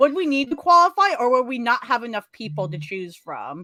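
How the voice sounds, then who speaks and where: A woman's high voice, animated with a bright, sharp tone, very wide pitch swings and a fairly quick pace, on a very clean recording with a silent background. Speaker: comic book show host. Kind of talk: casual chat. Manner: fast.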